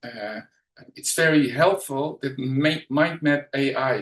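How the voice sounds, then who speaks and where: A man with a Dutch accent speaks at a fairly slow pace in a fairly high voice. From Netherlands. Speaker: educational trainer and mind map coach. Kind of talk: webinar presentation. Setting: online webinar. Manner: halting, many fillers.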